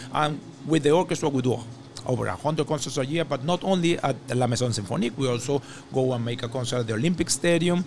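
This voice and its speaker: A somewhat breathy man with a Spanish accent talks very fast at a medium pitch, with ordinary pitch variation. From Venezuela. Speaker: orchestra conductor. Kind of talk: interview. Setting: on location in a hotel.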